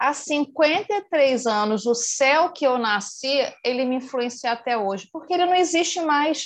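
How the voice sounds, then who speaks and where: A woman with a high pitch and lively intonation speaks at a fairly slow pace with hardly any pauses. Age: 50s. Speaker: meditation class participant. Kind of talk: audience question.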